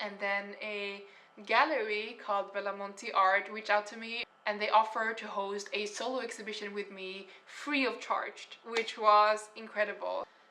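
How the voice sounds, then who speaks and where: Over noticeable background noise, a woman speaks at a fairly high pitch in a monotone, flat intonation, with big swings in loudness. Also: moderate pace. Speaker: artist and painter. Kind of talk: casual story time vlog.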